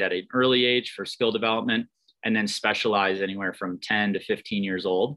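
With an American accent, a man with an ordinary speaking voice and a fairly low pitch talks at a fairly quick pace. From upstate New York, Adirondacks. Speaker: former Olympic athlete, sports executive. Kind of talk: interview.

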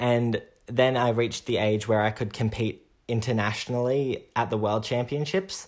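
A man with an Australian accent speaks at a moderate pace and medium pitch, with very even loudness and fairly even intonation, in a very clean recording with a silent background. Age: young. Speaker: dancer. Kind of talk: casual chat.

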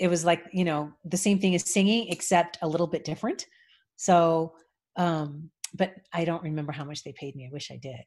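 A woman talks with a Californian accent at a moderate pace. Her pitch is fairly low, with ordinary pitch variation. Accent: General American (California). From Los Angeles. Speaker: voice actor and voice coach. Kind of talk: interview conversation.

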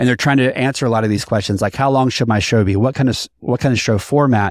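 Recorded very cleanly against a silent background with a dry, close sound and no echo, a man speaks in a normal speaking voice at medium pitch with ordinary pitch variation. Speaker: podcast host and consultant. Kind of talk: casual chat, podcast discussion.

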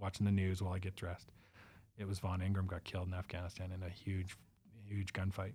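A very deep, low male voice with a Canadian accent, dark and mellow in tone, somewhat breathy, monotone and flat, at a very fast pace. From Interior British Columbia, Canada. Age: 40s. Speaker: life coach and military veteran. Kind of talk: casual chat.

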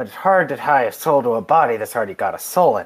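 A man's raspy, put-on character voice

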